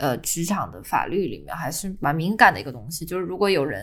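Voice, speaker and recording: A woman with a fairly low pitch speaks at a fairly quick pace in an ordinary speaking voice, her intonation lively. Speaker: office worker. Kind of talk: casual chat.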